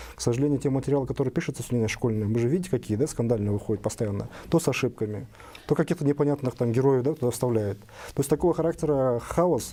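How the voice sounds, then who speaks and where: A man with a medium pitch and a dark, mellow tone talks at a very fast pace. His loudness stays very even, with ordinary pitch variation. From Kyrgyzstan. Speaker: business association head. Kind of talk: panel debate.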